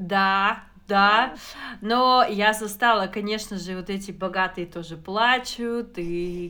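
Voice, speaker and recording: Speaking very slowly at a medium pitch, a woman shows big swings in loudness and ordinary pitch variation. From Kazakhstan. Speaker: podcast co-host. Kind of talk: casual chat.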